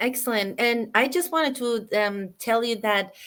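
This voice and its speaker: A woman with an Iranian accent speaks at a fairly slow pace with ordinary pitch variation, on a very clean recording with a silent background. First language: Farsi. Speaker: online business host. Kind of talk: live interview chat. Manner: halting, many fillers.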